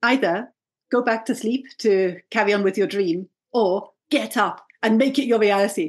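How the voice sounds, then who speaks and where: A woman with a plain, everyday voice speaks at a moderate pace and fairly high pitch with ordinary pitch variation. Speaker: brand strategy coach. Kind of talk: casual interview chat.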